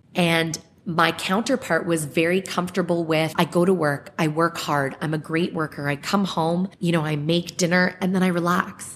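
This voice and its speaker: With a Canadian accent, the speaker uses a normal speaking voice at a moderate pace. The intonation stays fairly even, with hardly any pauses. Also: woman, fairly low pitch for a woman. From Ontario, Canada (Clarkson, Mississauga). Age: 30s. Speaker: podcast guest. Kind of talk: casual interview.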